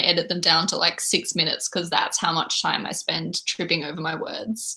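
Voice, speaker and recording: In a very clean recording with a silent background, a woman with a fairly low pitch and a bright, sharp tone talks at a moderate pace. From Australia, Melbourne. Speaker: booktuber. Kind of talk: casual livestream chat. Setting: livestream. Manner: animated.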